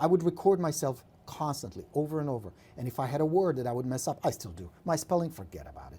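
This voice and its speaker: Recorded very cleanly over a silent background, a somewhat breathy man with a Czech accent speaks at a fairly quick pace, his fairly high pitch showing ordinary variation within a dark, mellow tone. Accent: Czech accent, reduced from thick. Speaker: real estate coach. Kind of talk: live stream coaching tips. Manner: animated.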